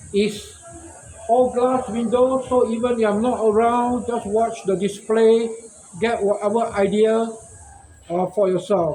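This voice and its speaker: A man speaks in an extremely high pitch at a fairly slow pace, with long, frequent pauses and fairly even intonation. Noticeable background noise and audible room echo fill the recording. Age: 60s. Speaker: shop owner and inventor. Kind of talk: casual monologue vlog. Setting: outdoors in front of his shop.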